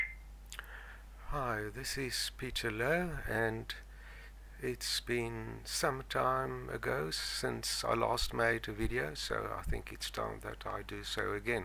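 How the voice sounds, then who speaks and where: His delivery is very slow. The man's voice carries audible room echo. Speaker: stuttering self-help vlogger. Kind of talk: casual explanatory talk to camera. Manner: halting, many fillers and repetitions. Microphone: new gaming microphone.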